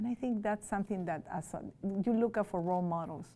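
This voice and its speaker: A woman with a dark, mellow tone and fairly even intonation. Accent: Spanish. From Peru. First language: Spanish. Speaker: teacher. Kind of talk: interview. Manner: loud.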